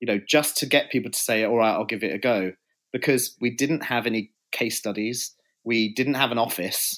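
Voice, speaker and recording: Very clean with a silent background, the recording has a man speaking at a fairly quick pace and medium pitch with fairly even intonation. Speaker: PR agency co-founder. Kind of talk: casual interview chat.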